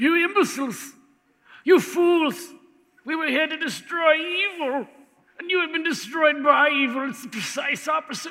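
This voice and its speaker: In a put-on character voice at an extremely high pitch, a man speaks at a moderate pace with long, frequent pauses. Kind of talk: dramatic, theatrical.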